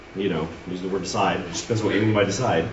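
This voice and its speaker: A man with a fairly low pitch talks amid noticeable background noise and audible room echo. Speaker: Sunday school teacher. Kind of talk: lecture. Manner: halting with many fillers.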